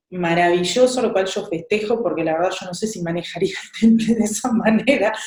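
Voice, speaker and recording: Somewhat breathy woman with a dark, mellow tone and an Argentine accent, plus audible room echo. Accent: Argentine Spanish (voseo). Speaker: interviewer, channel host. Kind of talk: interview.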